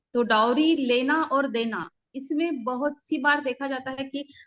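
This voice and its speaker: A woman with a Marathi accent speaks at a high pitch with ordinary pitch variation. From Maharashtra, Buldhana district. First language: Marathi (speaking Hindi). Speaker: civil servant, guest speaker. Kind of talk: online lecture. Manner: halting, many fillers.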